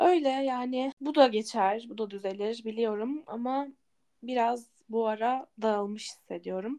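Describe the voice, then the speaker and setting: A woman speaks at a fairly slow pace in a fairly high pitch with a dark, mellow tone. Her loudness swings widely, with ordinary pitch variation. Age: 20s. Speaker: podcast co-host, office worker. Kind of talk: casual chat.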